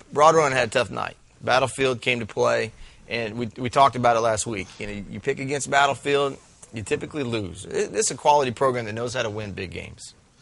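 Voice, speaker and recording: At a fairly quick pace, a man talks in a normal speaking voice, medium in pitch with ordinary pitch variation. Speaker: high school football show host. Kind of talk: casual sports talk.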